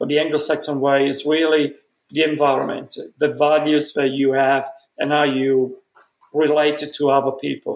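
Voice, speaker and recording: This man has a fairly high pitch. His intonation is monotone and flat. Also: moderate pace. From Italy, Milan. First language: Italian. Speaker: dentistry professor. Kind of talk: interview. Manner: halting.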